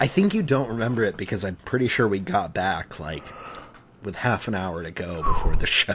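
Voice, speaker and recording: A man with a normal speaking voice talks fairly quickly in a fairly low pitch, his intonation lively. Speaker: podcast co-host. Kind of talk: casual chat.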